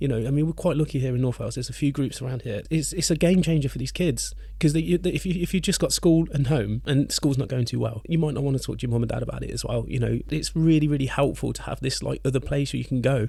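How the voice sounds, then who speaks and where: Noticeable background noise sits under a man's voice. He speaks very fast with hardly any pauses. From England. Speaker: podcast co-host and musician. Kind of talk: casual chat.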